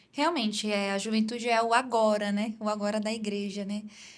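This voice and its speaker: Speaking at a fairly quick pace, a woman uses a fairly high pitch with monotone, flat intonation. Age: 20s. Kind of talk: interview, personal testimony.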